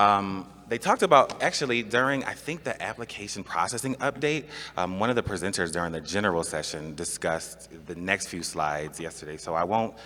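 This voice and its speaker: Bright and sharp in tone, a man keeps a fairly quick pace with hardly any pauses. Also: fairly low pitch for a man, lively intonation. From US, Buffalo, New York. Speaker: government training presenter. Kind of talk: conference presentation. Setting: conference room with audience. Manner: fast; halting, many fillers.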